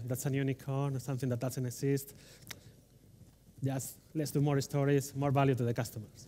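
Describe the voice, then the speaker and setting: The voice has a dark, mellow tone and a strong Spanish accent. Its delivery is monotone and flat at a fairly quick pace. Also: man. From Spain. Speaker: delivery manager, conference speaker. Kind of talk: conference talk. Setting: stage with audience. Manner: fast.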